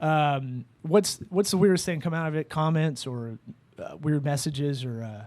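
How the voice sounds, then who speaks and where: A man speaks in a plain, everyday voice at a moderate pace. His pitch is fairly high with ordinary variation, and his loudness swings widely. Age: 30s. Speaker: podcast host. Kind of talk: casual chat.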